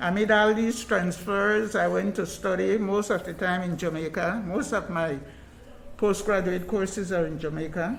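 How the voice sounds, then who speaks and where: A woman with a medium pitch talks in a space with audible room echo. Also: ordinary pitch variation, moderate pace. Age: 60s. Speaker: retired nurse and community activist. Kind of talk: interview.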